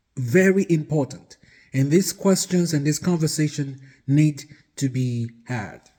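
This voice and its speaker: A man with a Nigerian accent speaks at a fairly slow pace with ordinary pitch variation. His voice is somewhat breathy, with a dark, mellow tone. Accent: Nigerian (Yoruba) English. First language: Yoruba. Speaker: marriage advice vlogger. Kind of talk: casual talk to camera. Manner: hesitant, with fillers.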